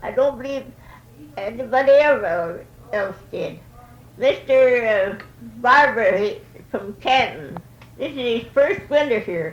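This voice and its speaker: Noticeable background noise sits behind a woman speaking at a fairly slow pace. Her pitch is high and her intonation lively. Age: 80s+. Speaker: elderly interviewee recalling old times. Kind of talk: oral history interview.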